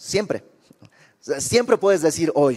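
The speaker is a man. His intonation is lively. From Bolivia. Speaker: preacher. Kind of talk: sermon.

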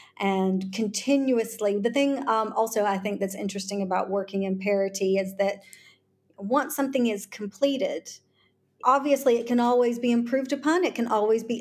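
A woman with a normal speaking voice talks at a moderate pace in a fairly high pitch with ordinary pitch variation. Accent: American. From US South, Charleston, South Carolina. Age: 40s. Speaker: lawyer and tech executive. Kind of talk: interview.

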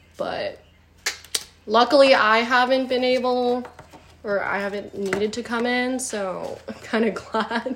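Speaking at a fairly slow pace, a woman with a high pitch keeps her intonation fairly even against noticeable background noise. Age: 30s. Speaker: podcast guest. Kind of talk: casual chat.

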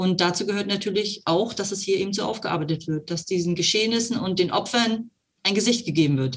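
The speaker sounds somewhat breathy, moving at a fairly quick pace with ordinary pitch variation. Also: woman, medium pitch for a woman. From eastern Germany, Brandenburg (Cottbus). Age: 50s. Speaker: mayor. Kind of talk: interview.

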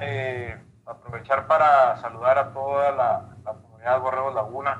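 This man's voice is medium in pitch and somewhat breathy. He speaks at a fairly slow pace. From Mexico, Baja California (Mexicali). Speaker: civil engineer, former college football player. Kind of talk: interview.

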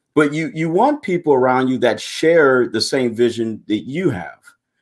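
This man has a plain, everyday voice at medium pitch, moving along at a moderate pace. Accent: American. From Michigan, Pontiac. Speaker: retired Marine and nonprofit founder. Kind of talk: interview. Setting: video call.

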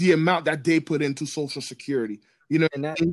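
A man's voice in a dry, close sound with no echo. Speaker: podcast guest. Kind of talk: casual chat. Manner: passionate, loud.

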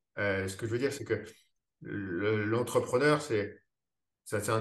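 A man talks at a very slow pace, showing ordinary pitch variation. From France, Paris. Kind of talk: casual interview conversation. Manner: hesitant, many fillers and repetitions.

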